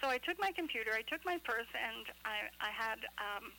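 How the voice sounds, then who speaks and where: A woman speaks at a moderate pace with lively intonation. Noticeable background noise runs underneath. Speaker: radio co-host. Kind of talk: casual chat. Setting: phone call.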